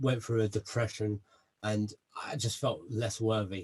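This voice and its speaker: A man speaks at a moderate pace in a South London accent. His voice is somewhat breathy and sits at a medium pitch. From south London, England. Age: 30s. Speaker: army veteran and personal development guest. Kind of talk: interview self-introduction.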